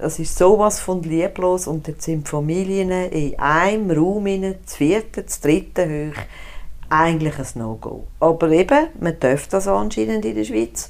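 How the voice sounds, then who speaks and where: An ordinary speaking voice moves at a fairly slow pace with lively intonation and big swings in loudness. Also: woman, fairly low pitch for a woman, very clean recording, silent background. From Switzerland, Zurich. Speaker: cantonal politician. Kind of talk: casual interview.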